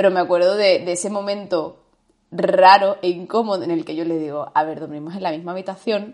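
At a fairly quick clip, a woman talks. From Andalusia, Spain. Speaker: podcast co-host, yoga teacher. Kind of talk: casual chat.

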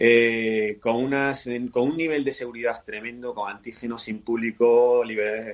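A man at a fairly slow pace, medium in pitch, with monotone, flat intonation. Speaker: cycling federation president. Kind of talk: interview.

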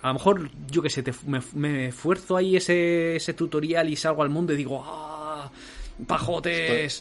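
A fairly high-pitched male voice with fairly even intonation. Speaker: podcast host. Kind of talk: casual chat. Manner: fast.

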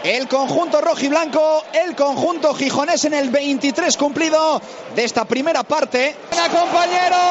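Extremely high pitch from a man at a fairly slow pace, very even loudness, ordinary pitch variation and noticeable background noise. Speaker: radio sports commentator. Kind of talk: live football commentary, play-by-play. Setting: radio broadcast from stadium.

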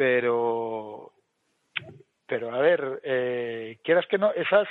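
A man talks with ordinary pitch variation. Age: 50s. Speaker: podcast co-host. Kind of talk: casual chat. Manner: animated.

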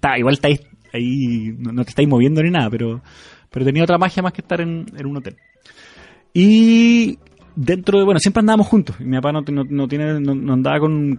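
At a fairly quick pace, a man with an ordinary speaking voice talks in a fairly high pitch with lively intonation. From Chile. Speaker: podcast host. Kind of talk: casual chat.

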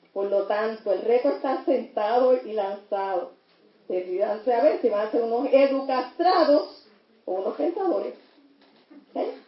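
A woman with a fairly high pitch speaks at a fairly slow pace with lively intonation in an ordinary speaking voice. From Puerto Rico. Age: 60s. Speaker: lawyer and teacher. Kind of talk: audience comment.

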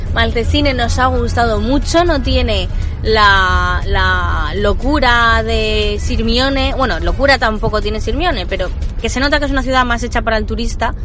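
A woman with an Italian accent at a moderate pace, amid noticeable background noise and audible room echo. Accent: Spanish with Italian accent picked up. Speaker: travel podcast host. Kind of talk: travel vlog narration; sponsor mention.

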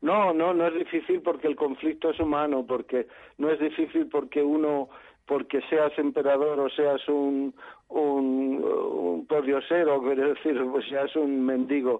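In a plain, everyday voice, a man talks at a fairly slow pace with fairly high pitch, fairly even intonation and very even loudness. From Madrid. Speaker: stage actor. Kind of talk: interview. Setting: phone call.

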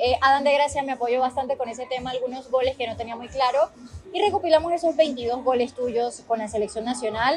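Noticeable background noise sits behind this recording. A woman talks in a high pitch with ordinary pitch variation. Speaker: podcast host. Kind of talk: interview. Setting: outdoors at a football venue.

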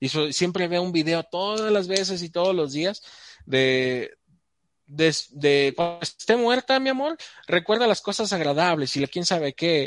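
A man speaks with a Mexican accent in a high pitch. His pace is fairly slow and his intonation lively. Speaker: podcast guest and show's voice-over announcer. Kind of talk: casual chat.

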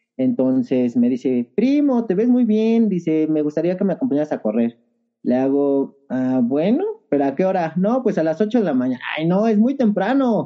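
High male voice with very wide pitch swings, a moderate pace and very even loudness. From Mexico City area (Estado de México, Ajusco). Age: 30s. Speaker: trail runner. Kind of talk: casual interview chat.

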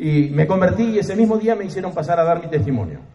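Audible room echo surrounds a man who talks at a fairly quick pace with ordinary pitch variation. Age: 60s. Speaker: pastor. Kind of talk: sermon.

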